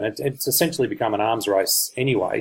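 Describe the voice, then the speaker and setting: Fairly quick male speech in an Australian accent. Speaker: online marketer / crypto reviewer. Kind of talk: product review presentation. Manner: hesitant, many fillers.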